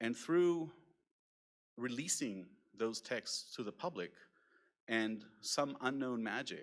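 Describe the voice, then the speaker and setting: With an Israeli accent, a man of medium pitch speaks at a very slow pace. Long, frequent pauses break up his speech. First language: Hebrew. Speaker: keynote speaker, nonprofit program officer. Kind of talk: conference keynote talk. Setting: conference stage with audience. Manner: casual with frequent fillers.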